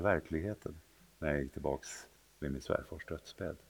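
A man speaks with vocal fry and lively intonation. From Sweden, southern and central regions. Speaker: bishop. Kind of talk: interview. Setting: cathedral, live recorded conversation. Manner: halting, repeats words.

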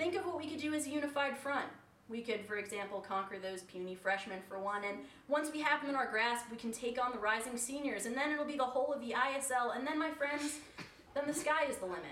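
A woman speaks at a fairly quick pace in a high, lively voice over noticeable background noise. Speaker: storyteller. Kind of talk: reading old speeches aloud with humor. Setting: stage with audience.

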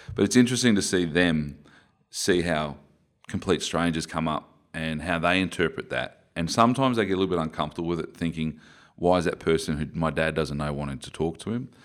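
With an Australian accent, a man talks at a fairly quick pace in a very deep, low pitch that shows ordinary variation. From Queensland, Australia. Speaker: former rugby player. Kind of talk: interview conversation. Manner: articulate.

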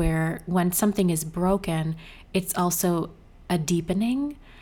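A woman in an ordinary speaking voice, fairly low in pitch, at a fairly slow pace. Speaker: podcast host. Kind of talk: interview conversation.

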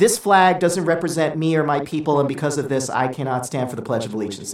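Using a squeaky, put-on character voice, a man talks at a very fast pace with a fairly high pitch.

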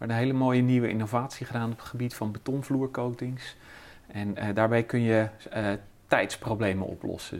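A man talks at medium pitch with monotone, flat intonation. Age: 50s. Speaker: chemist and business owner. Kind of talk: interview. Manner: halting.

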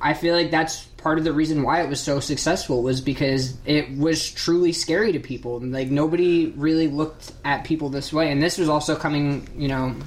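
A woman speaks at a fairly quick pace with hardly any pauses, her very deep, low pitch held in fairly even intonation against noticeable background noise. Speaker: podcast host. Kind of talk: casual chat.

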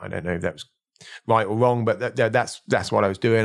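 With a southern English accent and some vocal fry, a man speaks at a medium pitch over a quiet background. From southern England. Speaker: mountaineer and leadership coach. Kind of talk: interview. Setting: studio, face to face.

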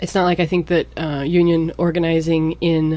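A woman with an American accent talks at a moderate pace in a dark, mellow tone, her pitch fairly low. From US Pacific Northwest. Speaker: Spanish teacher. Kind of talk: casual chat.

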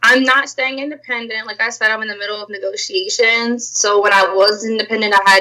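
This woman has a plain, everyday voice with a fairly high pitch. She talks at a moderate pace. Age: 20s. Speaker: musician. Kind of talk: casual chat.

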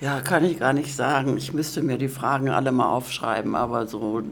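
A woman with a very deep, low pitch talks at a moderate pace with ordinary pitch variation. Audible room echo surrounds her voice. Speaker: course participant. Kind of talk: interview.

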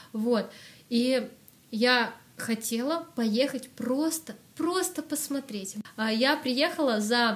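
A woman is speaking. Her voice sits high, with ordinary pitch variation. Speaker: singer and music school founder, vocal coach. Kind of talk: casual interview chat.

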